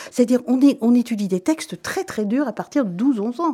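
With a dark, mellow tone, a woman speaks at a fairly high pitch. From Belgium, Brussels. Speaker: actress and playwright. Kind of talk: radio interview. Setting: studio.

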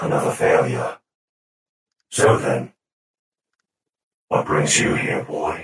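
A man puts on a character voice, speaking at a fairly slow pace. Long, frequent pauses and a clear echo mark the clip. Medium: actual play. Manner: formal, cold, condescending.

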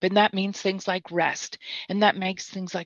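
A woman with an American accent speaks at a medium pitch. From Mississippi, US South. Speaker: therapist and trainer. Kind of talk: casual interview. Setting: video call live stream.

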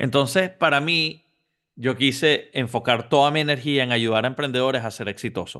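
A man with an unremarkable speaking voice talks at a medium pitch and moderate pace, using ordinary pitch variation. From Venezuela. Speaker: entrepreneur and business coach. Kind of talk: interview.

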